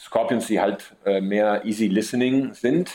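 A man with an Italian accent. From Sicily, Messina. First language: Italian (bilingual with German) (speaking German). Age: 30s. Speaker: metal drummer. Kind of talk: interview.

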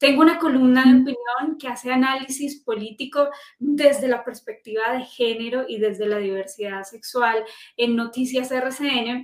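A woman's high voice at a moderate pace, fairly even in intonation but with big swings in loudness. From Colombia, Manizales (coffee region). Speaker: journalist and storytelling consultant. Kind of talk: interview. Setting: live stream.

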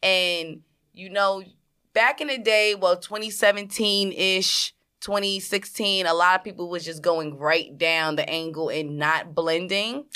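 Over a silent background in a very clean recording, a woman speaks at a fairly slow pace in a bright, sharp, animated tone. Her pitch varies in an ordinary way while her loudness swings widely. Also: medium pitch for a woman. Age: 20s. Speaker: podcast co-host, makeup artist. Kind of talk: casual chat.

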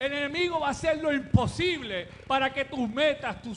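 A man with an extremely high pitch and ordinary pitch variation. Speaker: pastor. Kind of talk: sermon. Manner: halting.

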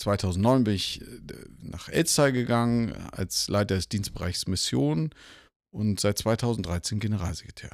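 On a very clean recording with a silent background, a man with a fairly low pitch speaks at a very slow pace. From northern Germany, Lübeck. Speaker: church denomination leader. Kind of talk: interview conversation. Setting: live at a church conference. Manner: hesitant with filler sounds.

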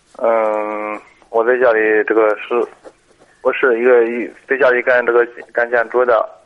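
A man talks at a fairly slow pace in a flat monotone, stopping for long, frequent pauses. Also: medium pitch for a man. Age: 40s. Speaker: caller, construction worker. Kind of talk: phone-in advice call. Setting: phone call. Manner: halting.

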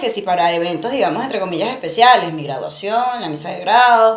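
Amid noticeable background noise, a woman with a Venezuelan accent talks at a very fast pace in a fairly high pitch. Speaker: podcast co-host. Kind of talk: casual chat. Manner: animated.

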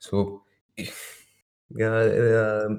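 The recording is very clean with total background silence, capturing a man whose voice is somewhat breathy. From French India (Puducherry region). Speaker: podcast guest. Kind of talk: casual chat. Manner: halting.

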